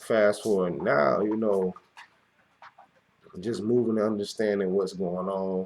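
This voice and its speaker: A fairly low-pitched man's voice with an American accent. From US South, Florida. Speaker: podcast host. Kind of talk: casual monologue. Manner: halting, many fillers.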